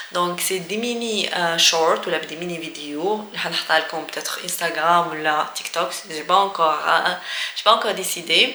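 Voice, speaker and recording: Here a woman speaks at a fairly slow pace and fairly low pitch. Audible room echo and noticeable background noise are present. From Algeria. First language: Algerian Arabic and French (speaking French). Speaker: language teacher vlogger. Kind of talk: casual tutorial. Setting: office. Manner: hesitant with many fillers.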